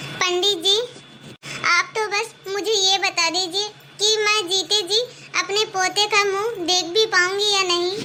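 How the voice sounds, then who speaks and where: A woman's cartoonish character voice, extremely high-pitched, monotone and flat, at a fairly slow pace over clear background noise. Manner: shrill, harsh, imperious.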